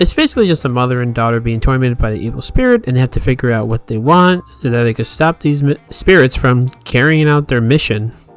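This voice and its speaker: At a very fast pace with hardly any pauses, a man talks at medium pitch with ordinary pitch variation while music plays in the background. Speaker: movie reviewer. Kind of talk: casual review.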